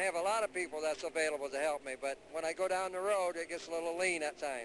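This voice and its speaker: At a very fast pace, a man speaks. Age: 70s. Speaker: drag racer. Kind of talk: interview.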